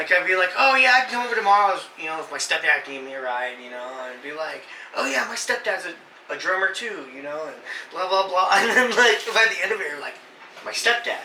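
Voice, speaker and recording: A man's raised, projected voice, high in pitch, with an animated tone, very wide pitch swings, big swings in loudness, and a fairly quick pace, amid noticeable background noise and audible room echo. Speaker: gaming channel host. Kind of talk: casual chat.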